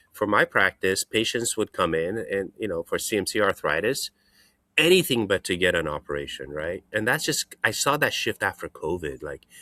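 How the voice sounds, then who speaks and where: Someone with a non-native accent is heard in a dry, close sound with no echo, on a very clean recording with a silent background. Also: man, moderate pace. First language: not English. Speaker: hand surgeon. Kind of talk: casual chat.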